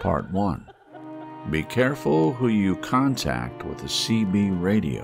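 Speaking at a very slow pace, a man with a fairly low voice makes very wide pitch swings while music plays in the background. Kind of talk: horror story audiobook narration.

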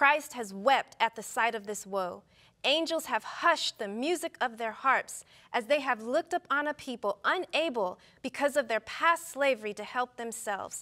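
Against a quiet background, a woman with a high pitch and a bright, sharp tone talks at a moderate pace with lively intonation. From US West. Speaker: physician; talk show guest. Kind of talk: casual chat. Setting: studio. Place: studio. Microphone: lapel.

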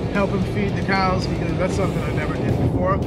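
Music plays in the background as a man speaks, with a dry sound and no echo. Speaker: vlogger. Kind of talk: casual vlog chat. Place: car.

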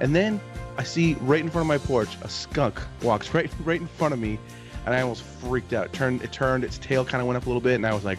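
A man rattles off his words at a very fast pace while clear music plays behind him. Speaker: podcast host. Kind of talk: casual podcast storytelling. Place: home room. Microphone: studio mic.

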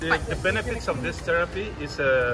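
A man talks while clear music plays behind him. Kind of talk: explanation to customer. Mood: friendly, upbeat. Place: market.

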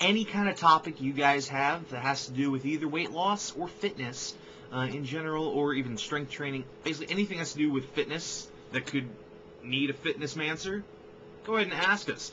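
A man talks at a fairly quick pace with a fairly high pitch. His pitch varies in an ordinary way, and light background noise can be heard. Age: 20s. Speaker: vlogger and filmmaker; vlogger introducing collab channel. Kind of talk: casual vlog introduction. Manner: halting, many fillers. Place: home room. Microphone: webcam.

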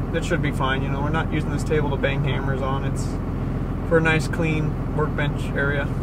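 The man's voice is dry, with no echo, against loud background noise. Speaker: vlogger. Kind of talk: casual vlog chat.

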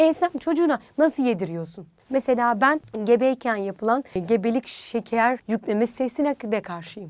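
An animated, high-pitched woman with very wide pitch swings at a moderate pace, in a dry, close sound with no echo. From rural Turkey (village). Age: 20s. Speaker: dietitian. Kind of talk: interview.

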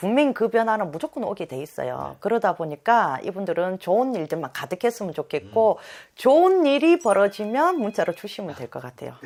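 Over a silent background in a very clean recording, a woman talks at a fairly quick pace with medium pitch, very wide pitch swings and big swings in loudness. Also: hardly any pauses. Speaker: fortune teller. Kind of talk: fortune-telling interview chat.

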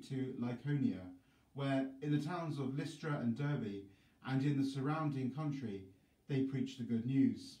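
A man speaks at a moderate pace in a dark, mellow, somewhat breathy voice with ordinary pitch variation, and the room echo is audible. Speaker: priest. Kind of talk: scripture reading.

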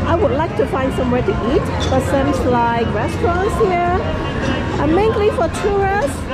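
A woman speaking at a moderate pace over clear background music. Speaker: travel vlogger. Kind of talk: casual vlog chat. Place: street. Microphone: phone near.

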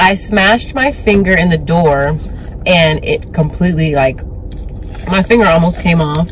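An American accent at a moderate pace, with ordinary pitch variation and very even loudness, dry sound with no echo, and light background noise. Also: woman, fairly low pitch for a woman. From Texas. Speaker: vlogger and online business owner. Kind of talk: casual vlog. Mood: relaxed, chatty.

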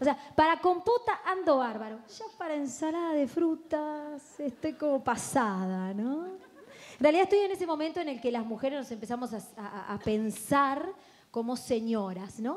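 Big swings in loudness and very wide pitch swings at a fairly slow pace. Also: woman, high pitch for a woman. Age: 20s. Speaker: comedian. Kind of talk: stand-up. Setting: stage with audience. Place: stage. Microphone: handheld.

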